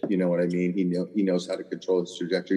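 With music in the background, a man with an American accent talks at a very fast pace. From Southern California. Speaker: golf caddie. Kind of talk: casual chat.

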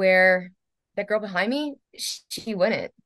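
A woman's unremarkable speaking voice at medium pitch and a fairly slow pace, over a quiet background. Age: 40s. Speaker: holistic entrepreneur and health coaching client. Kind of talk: interview.

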